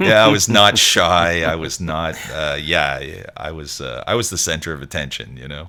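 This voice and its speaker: A man with a Montreal accent speaks at a moderate pace in a very deep, low voice, with ordinary pitch variation, big swings in loudness, hardly any pauses and noticeable background noise. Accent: Montreal English (Canadian). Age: 60s. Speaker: musician. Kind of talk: interview. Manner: halting, many fillers and restarts.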